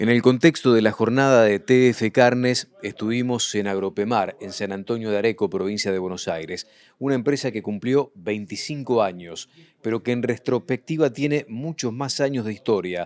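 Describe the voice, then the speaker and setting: A man talks with an ordinary speaking voice at a medium pitch, moderate pace and ordinary pitch variation. The recording is very clean, with a silent background. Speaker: agricultural TV show host. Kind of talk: TV report narration.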